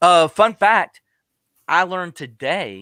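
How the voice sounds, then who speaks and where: A man with a Southern US accent speaks very slowly in a bright, sharp tone. The sound is dry and close with no echo, on a very clean recording with a silent background. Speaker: tech podcast host. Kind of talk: casual chat.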